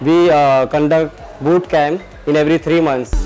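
A man at a fairly slow pace with fairly even intonation, faint music in the background. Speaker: gym trainer or manager. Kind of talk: walk-through tour presentation. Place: gym. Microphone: lapel.

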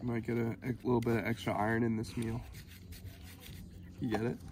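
A man talks at a fairly quick pace in a slightly mellow tone. His pitch is medium, with little movement.

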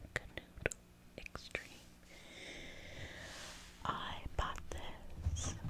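Over noticeable background noise, a woman talks very slowly with long, frequent pauses, the sound dry with no echo. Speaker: ASMR creator. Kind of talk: ASMR whispered gameplay.

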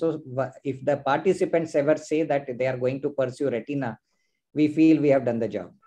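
A man talks at a fairly quick pace in a fairly high voice with a dark, mellow tone. His intonation is fairly even, and the background is quiet. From India. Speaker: ophthalmologist and quiz host; quiz host. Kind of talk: live online quiz hosting. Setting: video call. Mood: cheerful, smiling. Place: home room. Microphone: video call.

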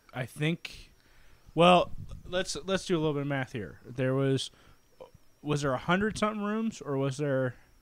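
With a normal speaking voice, a man talks at a moderate pace and a fairly high pitch, using lively intonation in a dry sound with no echo. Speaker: podcast co-host. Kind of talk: casual chat. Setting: live stream. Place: home room. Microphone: handheld.

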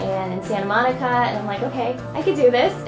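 Clear music plays behind a woman speaking with an American accent. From Ohio, USA. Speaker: model. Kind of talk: interview answer. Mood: cheerful, warm. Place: studio.

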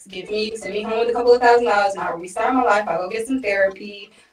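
Amid audible room echo, a woman talks at a very fast pace with fairly even intonation. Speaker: remote guest. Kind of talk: interview answer. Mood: aggrieved, explaining. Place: home room.

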